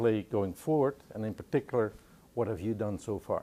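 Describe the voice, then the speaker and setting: Speaking with a Dutch accent, a man has a dark, mellow tone at a medium pitch, with ordinary pitch variation. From Netherlands. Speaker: business organization head interviewing. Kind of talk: interview.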